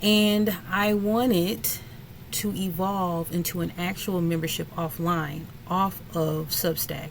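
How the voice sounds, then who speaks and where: A woman talks at a very slow pace with a fairly low pitch and ordinary pitch variation. Room echo is audible. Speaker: spiritual content creator. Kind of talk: casual chat to camera.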